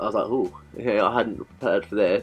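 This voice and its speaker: A man speaks with music playing in the background. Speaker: beauty vlogger. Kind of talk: casual chat. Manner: soft-spoken.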